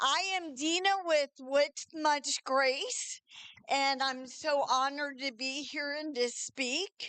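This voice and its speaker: A raised, projected voice moves at a very slow pace, with a dry, close sound and no echo. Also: woman, high pitch for a woman, fairly even intonation. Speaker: community program worker. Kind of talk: club talk. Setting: meeting room with audience, live stream.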